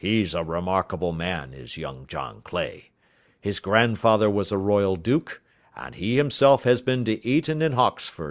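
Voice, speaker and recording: A raspy, put-on character voice runs at a moderate pace with very wide pitch swings and big swings in loudness. The recording is very clean, with a silent background. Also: man, fairly low pitch for a man. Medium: read story. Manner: blunt, hearty.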